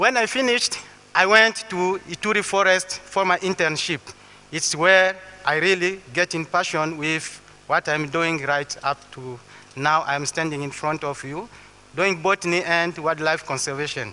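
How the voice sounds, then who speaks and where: In a Congolese accent, a man talks at a moderate pace with a high pitch and ordinary pitch variation. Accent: French-speaking Congolese accent in English. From Western Congo. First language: French. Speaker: botanist and conservationist. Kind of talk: public talk. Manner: halting.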